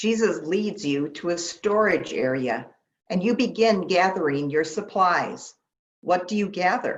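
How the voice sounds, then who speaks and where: A plain, everyday voice moves at a fairly slow pace with lively intonation. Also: woman, medium pitch for a woman. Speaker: pastor leading a guided meditation. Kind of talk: guided meditation. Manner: calm, slow, soothing.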